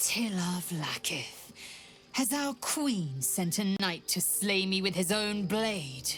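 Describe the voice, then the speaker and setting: A woman performs a put-on character voice at a medium pitch with lively intonation. She speaks at a very slow pace, with clear background noise behind her. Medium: video game. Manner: harsh, clipped.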